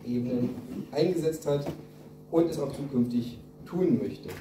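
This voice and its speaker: Amid light background noise and audible room echo, a man speaks with lively intonation at a fairly high pitch. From Saxony-Anhalt, Germany. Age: 40s. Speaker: state politician. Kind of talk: campaign speech. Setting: party meeting hall with audience. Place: hall. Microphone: camera far.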